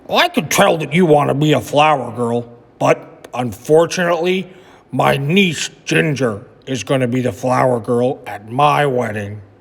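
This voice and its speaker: A man puts on a raspy character voice at a medium pitch. He talks at a moderate pace with lively intonation. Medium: read story. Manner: warm, gentle.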